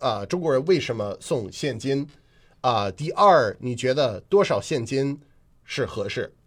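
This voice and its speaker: Against a quiet background, a man with an English accent speaks at a moderate pace in a fairly high pitch with lively intonation. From US Northeast, Boston. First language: English (speaking Chinese). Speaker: radio host and comedian. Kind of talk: casual chat. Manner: frequent fillers and hesitations.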